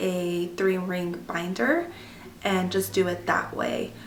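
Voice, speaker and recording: A woman talks at a very slow pace, with audible room echo and noticeable background noise. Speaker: homeschooling mother and vlogger. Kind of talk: tutorial. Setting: at home. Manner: casual, many filler ums.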